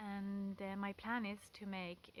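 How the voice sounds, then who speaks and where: Her accent is non-native. The woman's voice sits at a medium pitch. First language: not English. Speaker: pagan vlogger. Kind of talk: casual talk to camera. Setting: outdoors by a stone wall. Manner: hesitant, many fillers.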